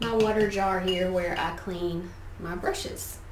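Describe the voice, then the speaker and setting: With a Southern US accent, a woman speaks at a medium pitch and fairly even intonation amid noticeable background noise and audible room echo. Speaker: artist, art teacher. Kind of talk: studio tour tutorial. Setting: home art studio. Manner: casual, conversational.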